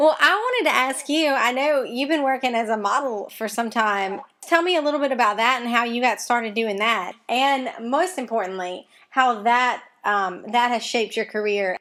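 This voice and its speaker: A bright, sharp tone in a strong Mississippi accent, at a moderate pace with ordinary pitch variation. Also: woman, high pitch for a woman. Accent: Mississippi Southern accent, strong. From Mississippi, US South. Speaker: interviewer. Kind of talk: interview.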